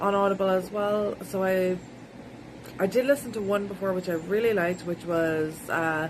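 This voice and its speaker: Noticeable background noise accompanies a woman talking at a moderate pace, her medium pitch held in fairly even intonation. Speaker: book vlogger. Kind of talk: casual vlog. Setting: outdoors by a river.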